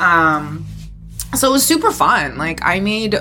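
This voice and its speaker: Noticeable background noise is present. Over it, a woman speaks fairly slowly. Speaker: podcast co-host. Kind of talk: casual banter. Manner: animated, irreverent.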